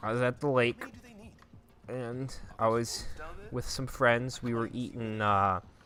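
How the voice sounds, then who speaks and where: A man with a Minnesotan accent speaks at medium pitch with fairly even intonation. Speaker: gaming YouTuber. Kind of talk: casual storytelling over gameplay.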